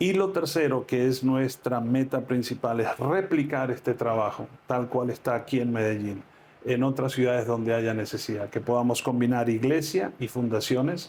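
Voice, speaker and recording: At a moderate pace and medium pitch, a man talks with ordinary pitch variation and very even loudness in an unremarkable speaking voice. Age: 60s. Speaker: pastor. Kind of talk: interview. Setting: on location at a ministry in Medellín.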